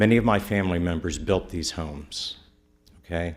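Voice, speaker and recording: In a Midwestern US accent, a man with a very deep, low pitch talks with ordinary pitch variation and audible room echo. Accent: US Midwest. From Middletown, Ohio. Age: 60s. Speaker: local attorney, public commenter. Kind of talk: public comment at council meeting. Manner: earnest, emphatic.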